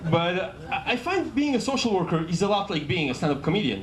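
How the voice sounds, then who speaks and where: A man with an Israeli accent talks at a very fast pace, his pitch swinging very widely, with audible room echo. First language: Hebrew. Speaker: comedian. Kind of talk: stand-up. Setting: stage with audience. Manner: halting.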